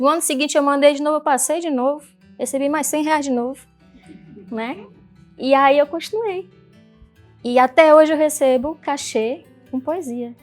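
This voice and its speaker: A woman with a northeastern Brazilian accent speaks at a moderate pace in a high pitch, leaving long, frequent pauses. Music plays in the background. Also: ordinary pitch variation. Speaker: poet and social entrepreneur. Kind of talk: personal story talk.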